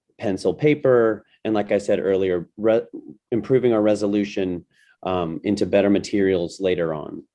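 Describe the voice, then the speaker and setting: A man's fairly low, dark, mellow voice over a quiet background. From United States. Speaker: design thinking educator. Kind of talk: webinar presentation.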